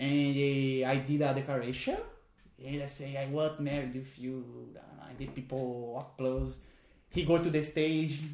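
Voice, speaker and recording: A man's fairly high voice with a Portuguese accent, monotone and flat, at a fairly slow pace, with audible room echo. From Brazil. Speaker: magician and clown. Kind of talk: casual chat. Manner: halting.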